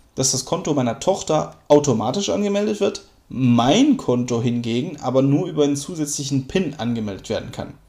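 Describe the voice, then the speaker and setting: Lively in intonation, a man speaks at a moderate pace with a fairly high pitch and a dark, mellow tone. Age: 30s. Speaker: podcaster and gaming dad. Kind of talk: casual monologue. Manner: hesitant with fillers.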